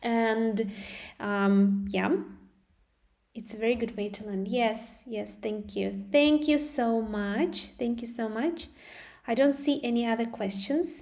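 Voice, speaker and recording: With audible room echo, a woman with a fairly high pitch and ordinary pitch variation speaks at a very slow pace. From Russia. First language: Russian. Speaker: English teacher. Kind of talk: live stream lesson. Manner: halting.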